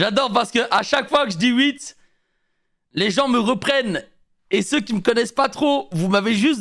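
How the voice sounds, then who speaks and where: An amused, playful man with a Belgian accent talks at a moderate pace in an extremely high pitch, his loudness very even on a very clean recording with a silent background. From Belgium.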